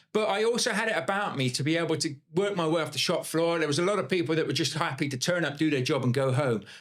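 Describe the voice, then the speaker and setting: A man talks very fast with lively intonation and hardly any pauses. Noticeable background noise sits behind him. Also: fairly high pitch for a man, very even loudness. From Bath, south-west England. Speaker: property investor. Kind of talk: podcast interview. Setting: podcast studio.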